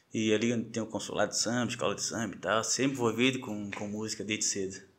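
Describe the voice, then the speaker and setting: The man's tone is bright and sharp. He speaks at a moderate pace and medium pitch. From Florianópolis, Brazil. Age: 30s. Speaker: samba and pagode social media page runner. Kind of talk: casual chat.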